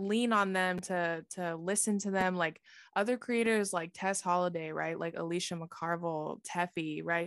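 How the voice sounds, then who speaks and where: A woman with an ordinary speaking voice talks at a moderate pace in a fairly low pitch with fairly even intonation, recorded very cleanly against a silent background with a dry, close sound and no echo. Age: 20s. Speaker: social media content creator. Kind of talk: casual interview.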